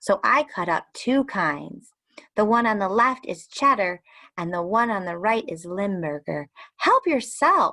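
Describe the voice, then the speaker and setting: A female-sounding, squeaky put-on character voice at medium pitch moves at a fairly slow pace. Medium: read story. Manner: polite, gracious.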